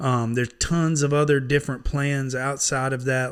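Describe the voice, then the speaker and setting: The recording is very clean with a silent background. A man with an American accent speaks in monotone, flat intonation. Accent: hillbilly, country. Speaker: online Bible reader. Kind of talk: casual sign-off talk. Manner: folksy, relaxed.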